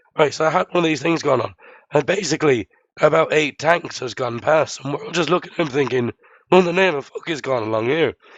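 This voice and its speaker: A very fast man's voice, fairly high in pitch, with an Irish accent. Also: ordinary pitch variation. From Ireland. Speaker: livestream co-host, software developer. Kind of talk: casual chat.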